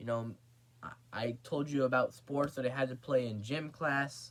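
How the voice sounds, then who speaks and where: Mumbling at a fairly slow pace, a man speaks at a medium pitch. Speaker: vlogger. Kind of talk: casual vlog monologue. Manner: halting.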